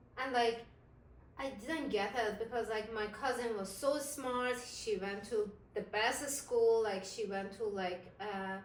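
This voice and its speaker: Speaking very slowly with an Iranian accent, a woman is heard with audible room echo and noticeable background noise. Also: fairly high pitch for a woman, ordinary pitch variation. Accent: Iranian (Persian) accent in English. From Iran, Isfahan. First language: Persian. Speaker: interviewee. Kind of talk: interview. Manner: hesitant, many fillers.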